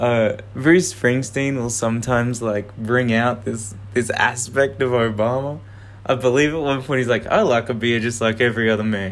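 A man speaks at medium pitch and a moderate pace. His intonation stays fairly even, with music in the background. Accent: Australian. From Canberra, Australia. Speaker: podcast host. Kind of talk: casual monologue. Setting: outdoors on a walk.

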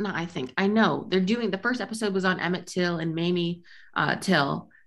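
In a plain, everyday voice, a woman talks at a moderate pace with a medium pitch and ordinary pitch variation. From US Midwest. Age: 20s. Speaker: podcast co-host. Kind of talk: casual chat.

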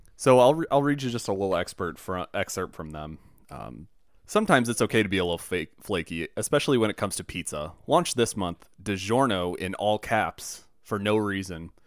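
On a very clean recording with a silent background, a man with an ordinary speaking voice and a fairly low pitch talks at a fairly quick pace. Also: lively intonation. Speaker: returning podcast guest. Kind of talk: casual banter.

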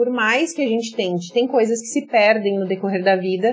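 This woman has an unremarkable speaking voice at a medium pitch. She speaks at a fairly quick pace with ordinary pitch variation. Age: 30s. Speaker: influencer and entrepreneur, former teacher. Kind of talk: podcast interview.

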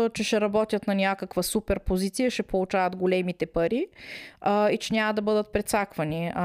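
In a very clean recording with a silent background, a woman speaks at a medium pitch with fairly even intonation, the sound dry and close with no echo. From Bulgaria, Smolyan (Rhodopes). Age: 40s. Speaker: emigrant office worker. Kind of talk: casual conversation. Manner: hesitant, many filler sounds.

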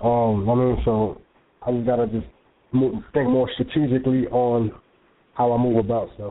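The speaker has a New York accent and a monotone, flat intonation. The pace is moderate, broken by long, frequent pauses. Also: man, medium pitch for a man. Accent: New York (Bronx) English. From New York, South Bronx. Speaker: magazine co-founder and CEO. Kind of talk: interview. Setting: phone call.

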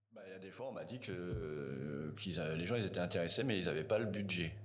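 This man's voice is very deep and low. Audible room echo surrounds it. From France, Tours. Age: 40s. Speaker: waste collection business owner. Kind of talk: interview. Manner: halting, many fillers.

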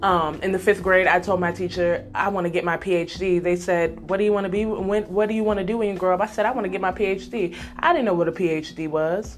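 A woman with an American accent talks at a fairly quick pace in an animated tone, with hardly any pauses, over noticeable background noise. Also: medium pitch for a woman. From Nebraska. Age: 20s. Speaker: podcast host. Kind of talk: casual monologue.

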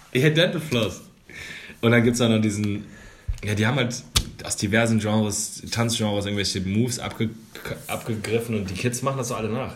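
Audible room echo surrounds a man's somewhat breathy, medium-pitched voice with ordinary pitch variation. He moves at a fairly quick pace, broken by long, frequent pauses. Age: 30s. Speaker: podcast co-host. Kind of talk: casual chat.

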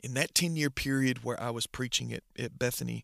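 The recording of this man with a Southern US accent has a dry, close sound with no echo. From US South, northwest Georgia. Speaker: pastor. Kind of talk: testimony. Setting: remote recording.

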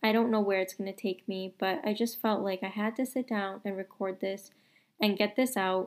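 On a very clean recording with a silent background, a woman talks at a moderate pace and medium pitch, her intonation fairly even. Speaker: podcast host, new mother. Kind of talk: casual solo monologue. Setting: sitting in bed at home. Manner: casual, chatty; uneven loudness.

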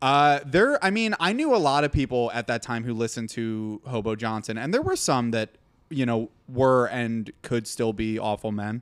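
A man uses an ordinary speaking voice at a medium pitch. His pitch variation is ordinary. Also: moderate pace. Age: young. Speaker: video editor and YouTuber. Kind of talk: casual chat.

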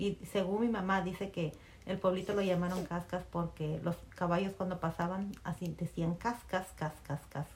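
A woman's unremarkable speaking voice, fairly low in pitch, with fairly even intonation at a moderate pace. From Peru, Chimbote (coastal port city). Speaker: mother interviewed by her daughter. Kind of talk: casual family interview, storytelling.

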